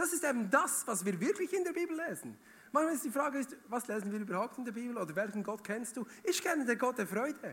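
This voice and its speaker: At a very fast pace, a man talks in an extremely high pitch with very wide pitch swings. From Switzerland, Bern region. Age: 30s. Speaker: guest preacher. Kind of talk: sermon. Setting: church stage with audience. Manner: animated.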